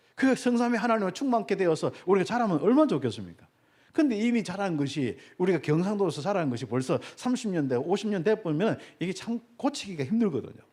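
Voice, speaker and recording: A man's high-pitched, very fast speech with very wide pitch swings, in a very clean recording with a silent background. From Gyeongsang Province, South Korea. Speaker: pastor. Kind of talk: sermon. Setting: church.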